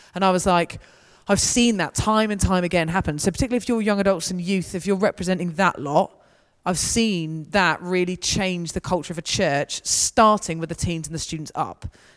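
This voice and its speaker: A woman with a southern English accent speaks at a fairly quick pace, her pitch medium with ordinary variation. The recording is very clean, with a silent background. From southern England. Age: 30s. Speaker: student mission leader. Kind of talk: church talk with Q&A.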